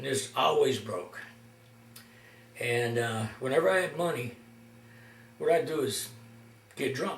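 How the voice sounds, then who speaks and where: There is audible room echo as a man speaks at a fairly slow pace, with ordinary pitch variation and long, frequent pauses. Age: 60s. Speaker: amateur guitarist and video maker. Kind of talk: casual storytelling monologue. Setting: at home, self-recorded. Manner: halting, many fillers.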